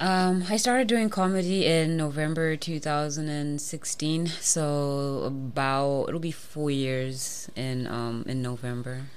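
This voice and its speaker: A very slow pace with hardly any pauses, against noticeable background noise. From Zimbabwe. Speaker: comedian. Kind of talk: casual chat. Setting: studio.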